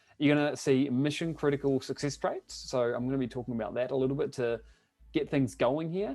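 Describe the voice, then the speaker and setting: Over background music, a man with a New Zealand accent speaks at a fairly quick pace with fairly even intonation. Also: medium pitch for a man. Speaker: online business coach. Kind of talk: webinar presentation. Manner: hesitant, many fillers.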